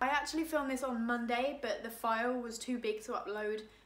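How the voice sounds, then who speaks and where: A woman with an English accent and ordinary pitch variation, over noticeable background noise and audible room echo. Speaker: vlogger. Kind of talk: casual chat. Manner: animated.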